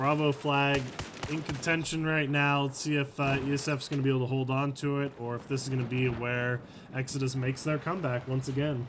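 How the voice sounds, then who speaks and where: Speaking at a fairly quick pace with an American accent, a man talks at a fairly high pitch over noticeable background noise. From United States. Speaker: esports caster. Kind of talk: live commentary. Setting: live stream. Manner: animated.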